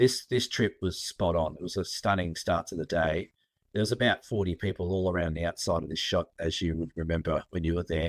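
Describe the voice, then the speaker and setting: A man with an Australian accent talks at a moderate pace in a very deep, low pitch, his intonation fairly even. The recording is very clean, with a silent background. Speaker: photographer and photo tour leader. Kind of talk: casual interview chat.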